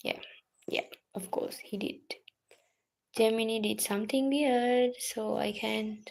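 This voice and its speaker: Very slow speech with a non-native accent. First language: not English. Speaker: student livestreamer. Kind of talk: casual study livestream. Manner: halting.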